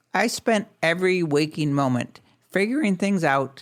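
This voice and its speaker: At a moderate pace, a man talks with ordinary pitch variation in a very clean recording with a silent background. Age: 50s. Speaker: podcast host. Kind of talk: podcast monologue.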